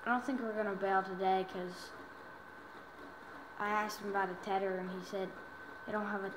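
A woman at a moderate pace in a monotone, flat intonation, over noticeable background noise. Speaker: gamer. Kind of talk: casual gameplay commentary. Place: home room. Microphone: phone near.

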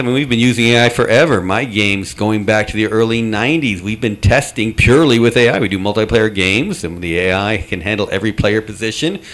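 A man with a plain, everyday voice talks at a medium pitch. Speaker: game developer and industry association director. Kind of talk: convention panel discussion. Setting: stage with audience. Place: meeting room.

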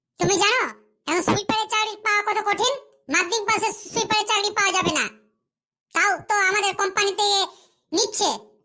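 In a squeaky, cartoonish character voice, a woman talks at an extremely high pitch with fairly even intonation and very even loudness. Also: moderate pace.

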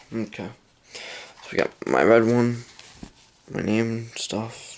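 A man speaks quietly and very slowly. His intonation stays monotone and flat. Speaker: gaming YouTuber. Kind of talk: casual vlog. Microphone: phone near.

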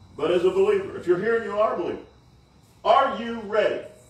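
A man talks at a very fast pace with an extremely high pitch. His voice swings very widely in pitch, with audible room echo. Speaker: preacher delivering a sermon. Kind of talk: sermon / preaching to a congregation. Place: tent. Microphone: camera far.

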